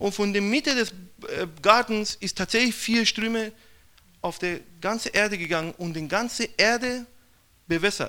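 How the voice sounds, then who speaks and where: With a Persian accent, a man uses a raised, projected voice at a high pitch and a bright, sharp tone, keeping a moderate pace with ordinary pitch variation and long, frequent pauses in a very clean recording with a silent background. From Iran. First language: Persian (speaking German). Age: young. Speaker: missionary. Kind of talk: testimony.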